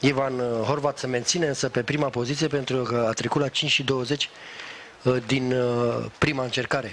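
The speaker keeps a very even loudness and a monotone, flat intonation at a moderate pace, with long, frequent pauses over noticeable background noise. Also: man, medium pitch for a man. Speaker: sports commentator. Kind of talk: live sports commentary.

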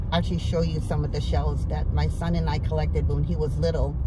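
A woman speaks at a fairly quick pace in a dry sound with no echo, over loud background noise. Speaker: lifestyle vlogger. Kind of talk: casual vlog chat. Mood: relaxed, fond reminiscing. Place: car. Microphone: phone near.

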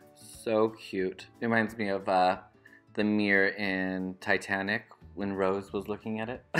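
Faint music plays in the background as a man talks at a moderate pace in a fairly low, monotone, flat voice. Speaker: thrift vlogger. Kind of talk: casual vlog chat. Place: shop. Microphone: phone near.

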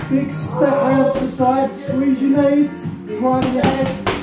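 Through audible room echo and loud music in the background, a man speaks at a very slow pace. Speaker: martial arts instructor. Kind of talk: class demonstration instruction. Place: gym. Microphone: camera far.

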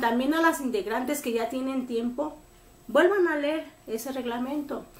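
Audible room echo surrounds a woman speaking in a high pitch with ordinary pitch variation. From Mexico. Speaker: embroidery group leader. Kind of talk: tutorial. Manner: casual, rambling self-corrections. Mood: firm, admonishing but calm. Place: home room. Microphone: camera far.

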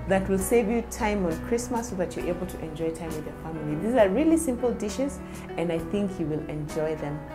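A woman speaks with clear music in the background. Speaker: cooking vlogger. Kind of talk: casual vlog intro. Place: home room. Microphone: lapel.

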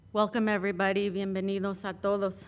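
A woman with a Spanish accent talks at a fairly quick pace in a medium pitch. Her intonation is monotone and flat. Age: 40s. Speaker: city councilmember. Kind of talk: personal speech at award ceremony. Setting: council chamber.

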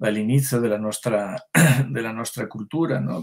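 A man speaks with a Spanish accent and a fairly low pitch. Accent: Spanish accent in Italian, rusty. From Spain. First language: Spanish (speaking Italian). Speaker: writer and translator; guest. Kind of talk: online author interview. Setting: online video call. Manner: halting, many repetitions. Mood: reflective, thoughtful. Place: home room. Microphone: webcam.

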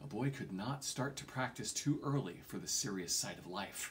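The tone is bright and sharp, delivered at a moderate pace. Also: man. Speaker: reader of a novel. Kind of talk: audiobook-style reading. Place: home room. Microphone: phone near.

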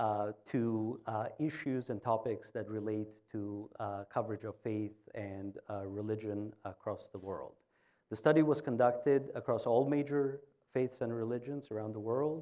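A man's dark, mellow voice at medium pitch, fairly slow, with ordinary pitch variation against a quiet background. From Albania. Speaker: public opinion research CEO; presenter, panelist. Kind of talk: data presentation; conference presentation. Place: stage. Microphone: lapel.

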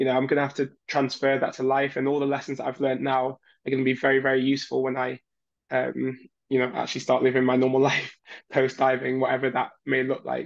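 Very fast and in a flat monotone, a man speaks against a quiet background. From northern England, Leeds; northern England. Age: 20s. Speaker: Olympic diver. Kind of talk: interview. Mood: warm, encouraging. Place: home room. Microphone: webcam.

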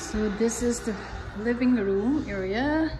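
A woman's very slow speech is set against noticeable background noise. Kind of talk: casual vlog chat. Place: home room. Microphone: phone near.

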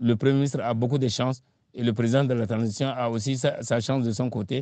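Against a quiet background, a man talks in a dark, mellow tone with a dry sound and no echo. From Chad, eastern region near Sudan. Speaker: political scientist and former minister; former minister. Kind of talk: interview. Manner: halting, frequent repetitions. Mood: calm, measured analysis. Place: home room.

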